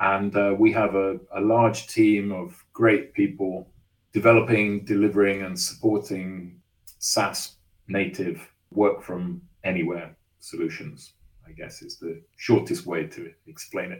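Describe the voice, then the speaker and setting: A man with an English accent talks fairly slowly in a fairly low voice, with ordinary pitch variation and big swings in loudness. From England. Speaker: engineering executive. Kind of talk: interview.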